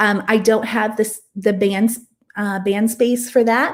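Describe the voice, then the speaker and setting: A woman with a normal speaking voice speaks at a moderate pace and a fairly high pitch. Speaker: online coach and course creator. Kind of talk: live Q&A sales talk. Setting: live stream.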